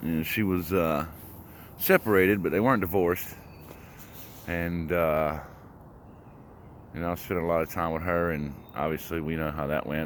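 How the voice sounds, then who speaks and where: A man's very deep, low voice with ordinary pitch variation at a moderate pace. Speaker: vlogger on a walking challenge. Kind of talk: personal testimony vlog. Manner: halting, many pauses and fillers.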